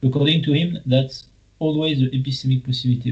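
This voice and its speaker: A somewhat breathy man with a French accent, fairly high in pitch, with ordinary pitch variation and a fairly quick pace. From France. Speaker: philosopher. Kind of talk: academic discussion.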